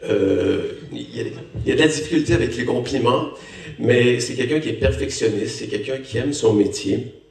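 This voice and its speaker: A man with a Canadian French accent speaks at a moderate pace amid noticeable background noise and audible room echo. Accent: Canadian French accent, still noticeable. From Canada. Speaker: actor, lead role. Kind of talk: post-screening Q&A talk.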